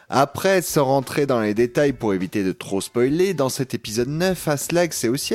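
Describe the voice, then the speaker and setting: Medium pitch from a man, very wide swings in that pitch, and a moderate pace. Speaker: podcast panelist reviewing audio dramas. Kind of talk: review show chat.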